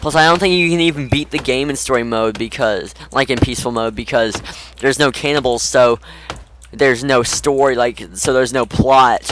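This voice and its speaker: Amid noticeable background noise, a man talks, his pitch varying in an ordinary way. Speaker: gaming youtuber. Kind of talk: gameplay commentary. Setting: voice chat on Discord. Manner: halting.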